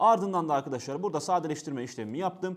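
With lively intonation and an animated tone, a man speaks against a quiet background. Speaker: exam coach and university student; exam coach. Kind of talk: tutorial. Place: studio. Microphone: lapel.

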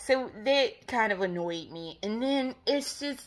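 A woman speaks at a fairly slow pace in a high pitch, her tone bright and sharp. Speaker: gaming vlogger. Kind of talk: casual vlog monologue. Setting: at home in bed. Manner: rambling, casual and profane.

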